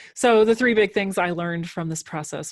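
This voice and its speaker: A Minnesotan accent against a quiet background. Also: woman. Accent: Minnesota. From Minnesota, Minneapolis. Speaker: podcast host. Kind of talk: conference presentation.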